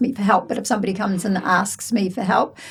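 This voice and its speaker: A woman with a New Zealand accent is heard over noticeable background noise. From New Zealand, West Auckland. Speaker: real estate branch manager. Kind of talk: interview.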